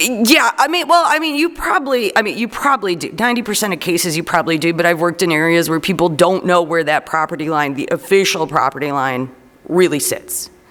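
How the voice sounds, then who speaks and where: The speaker talks very fast with a Chicago accent. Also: hardly any pauses. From Chicago, Illinois. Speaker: zoning consultant. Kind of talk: public meeting presentation. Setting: city council meeting.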